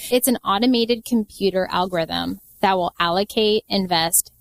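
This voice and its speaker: The sound is dry and close with no echo as a woman speaks at a medium pitch. Her pace is moderate and her pitch varies in an ordinary way. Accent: American. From US Pacific Northwest, Seattle. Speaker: financial advisor. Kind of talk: podcast interview.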